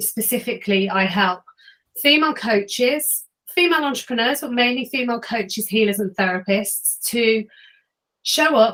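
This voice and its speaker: With an English accent, a woman talks at a moderate pace in a fairly high pitch, her tone bright and sharp and her pitch variation ordinary. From England, Warwickshire. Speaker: client attraction coach. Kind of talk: self-introduction in a networking meeting.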